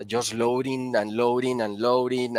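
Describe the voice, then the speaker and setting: Recorded very cleanly against a silent background, a man with a Spanish accent speaks at a medium pitch and moderate pace in a dry, close sound with no echo. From Colombia. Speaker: powder coating applicator and engineer. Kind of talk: interview. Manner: halting.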